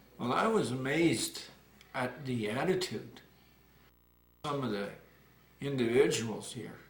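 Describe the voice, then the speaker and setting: With audible room echo, a man at a medium pitch speaks at a fairly slow pace with lively intonation and long, frequent pauses. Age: 60s. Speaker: retired community activist. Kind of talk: interview. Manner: halting.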